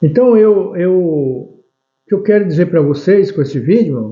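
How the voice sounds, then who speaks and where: The voice moves through very wide pitch swings. Its pace is fairly slow. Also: man. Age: 70s. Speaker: lay preacher. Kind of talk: religious teaching monologue. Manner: halting, with many restarts.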